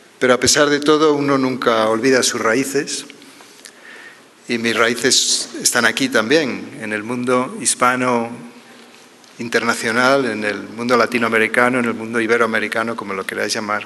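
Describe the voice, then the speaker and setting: A man with a medium pitch talks at a moderate pace and with fairly even intonation, with noticeable background noise and audible room echo. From Spain. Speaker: pain medicine professor. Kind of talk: conference talk. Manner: formal.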